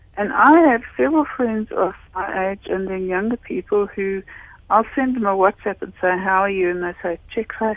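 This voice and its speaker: Noticeable background noise runs under a woman's voice. She has a medium pitch, ordinary pitch variation and a moderate pace. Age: 60s. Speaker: caller. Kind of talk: radio phone-in.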